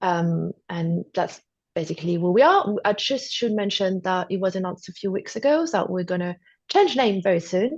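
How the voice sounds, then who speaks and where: A woman at medium pitch with a French accent and lively intonation, against a quiet background. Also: moderate pace. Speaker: TV acquisitions executive. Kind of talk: interview.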